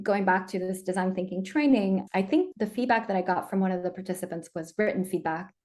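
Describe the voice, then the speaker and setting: Speaking very fast with hardly any pauses, a woman of medium pitch uses ordinary pitch variation and has a slight non-native accent. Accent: slight non-native accent when speaking French. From Colombia, raised partly in the US. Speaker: diversity and inclusion consultant. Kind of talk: casual interview conversation.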